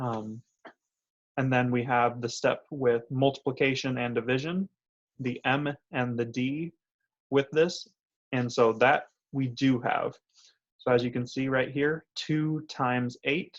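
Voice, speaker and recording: A man at medium pitch speaks at a fairly slow pace with fairly even intonation and long, frequent pauses. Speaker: math teacher. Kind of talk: tutorial.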